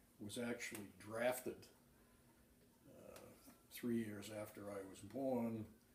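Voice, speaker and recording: A man speaks in an American accent. Audible room echo and noticeable background noise surround him. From Massachusetts. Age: 70s. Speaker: war veteran. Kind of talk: oral history interview. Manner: halting, many fillers.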